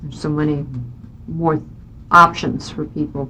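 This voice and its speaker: A woman with a Midwestern US accent talks at a fairly slow pace. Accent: US Midwest. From Kansas, Johnson County (Kansas City area). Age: 50s. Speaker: state senator. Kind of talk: oral history interview.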